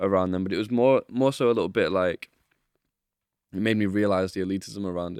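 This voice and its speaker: Speaking very fast in a Mancunian accent, a man uses a fairly low pitch and fairly even intonation, with long, frequent pauses. The sound is dry and close with no echo. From Manchester, England. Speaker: professional dancer. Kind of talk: casual chat. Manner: laughs often.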